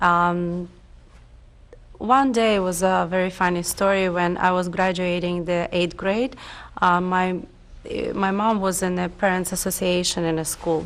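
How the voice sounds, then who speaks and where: Fairly slow and fairly even in intonation, a woman speaks with a Russian accent. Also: medium pitch for a woman. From Ukraine, Lviv. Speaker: oral history interviewee. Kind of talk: oral history interview. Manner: halting, many fillers.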